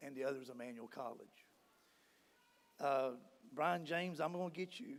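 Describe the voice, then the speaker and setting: With an American accent, a man speaks at a moderate pace, his pitch fairly high and his pitch variation ordinary. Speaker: award honoree and alumnus. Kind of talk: acceptance speech.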